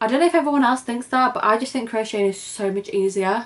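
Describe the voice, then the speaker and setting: The speaker has a British accent and moves at a fairly quick pace. Pitch varies in an ordinary way. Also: woman. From UK. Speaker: crochet vlogger. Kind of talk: casual vlog introduction. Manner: chatty, informal.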